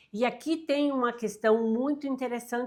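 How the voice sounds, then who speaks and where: With pitch that varies in an ordinary way, a woman speaks at a moderate pace. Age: 60s. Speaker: self-help youtuber. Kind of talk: motivational talk to camera. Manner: animated.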